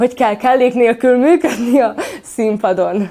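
This woman's tone is dark and mellow, with ordinary pitch variation. Her pace is fairly slow. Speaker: acting student. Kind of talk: interview.

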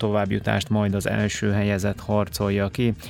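A man's fairly low voice comes through with music playing behind it. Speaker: radio sports host. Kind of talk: news reading. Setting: studio.

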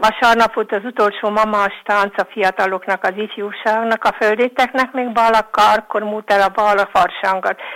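Flat, monotone speech from a woman at a moderate pace, the sound dry and close with no echo. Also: fairly high pitch for a woman, hardly any pauses. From Vojvodina, Serbia (Bačka). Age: 70s. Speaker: elderly villager. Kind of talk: reminiscence.

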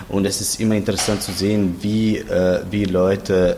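There is audible room echo around a man speaking at a moderate pace. His voice is fairly low and monotone, with flat intonation. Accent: Croatian. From Croatia, Zagreb. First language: Croatian (speaking German). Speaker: literary translator. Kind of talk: interview. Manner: halting.

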